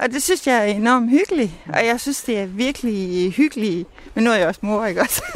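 A woman's fairly high voice, an ordinary speaking voice, with lively intonation at a fairly quick pace. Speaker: mother of the host. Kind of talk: interview. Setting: outdoors.

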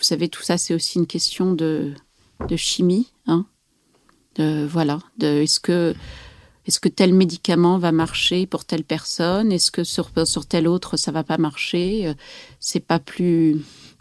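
Her pitch is fairly low and her intonation fairly even. The woman speaks at a very slow pace. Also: dry, close sound with no echo. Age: 40s. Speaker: novelist and psychoanalyst. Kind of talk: interview. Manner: hesitant with many fillers.

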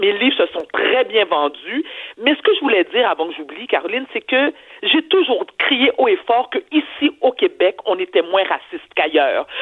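Noticeable background noise runs under speech at a fairly slow pace. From Quebec. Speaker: TV personality and columnist. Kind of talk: commentary. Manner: animated.

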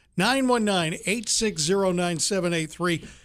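A man's high voice with lively intonation at a moderate pace, on a very clean recording with a silent background. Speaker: radio show co-host. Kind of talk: casual radio talk show.

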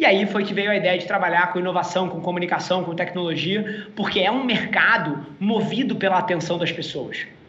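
Over noticeable background noise and audible room echo, a man projects a raised, high-pitched voice at a fairly quick pace with fairly even intonation and hardly any pauses. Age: 30s. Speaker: entrepreneur. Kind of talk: interview.

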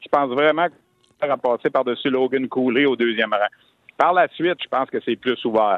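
A man speaks in a plain, everyday voice. His pace is moderate, and his pitch varies in an ordinary way. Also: medium pitch for a man. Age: 50s. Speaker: hockey analyst. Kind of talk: sports talk radio discussion.

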